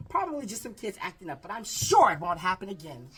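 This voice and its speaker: A man uses a raspy, high-pitched put-on character voice. He races along at a very fast pace with very wide pitch swings. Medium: read story. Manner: stern, commanding.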